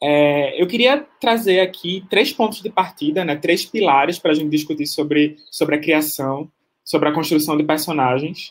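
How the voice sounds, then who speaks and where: At a moderate pace and with hardly any pauses, a man talks in an ordinary speaking voice, fairly high in pitch, with ordinary pitch variation. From Pernambuco. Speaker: panel moderator, filmmaker and researcher. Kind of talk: panel moderation.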